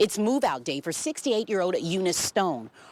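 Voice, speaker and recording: A woman speaks very fast while noticeable background noise plays behind her. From Louisville, Kentucky. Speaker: TV news anchor and reporter. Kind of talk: TV news anchoring and reporting. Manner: personable, conversational.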